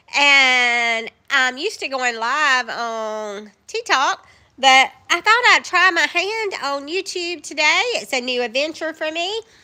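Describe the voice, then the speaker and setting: In a raised, projected voice with a Southern US accent, a woman speaks at a very slow pace with hardly any pauses, her high-pitched, bright, sharp tone moving in very wide pitch swings. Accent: Southern US, country. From US South, West Georgia. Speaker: live streamer, faith talk. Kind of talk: casual live stream, devotional talk. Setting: outdoors in the woods, live stream.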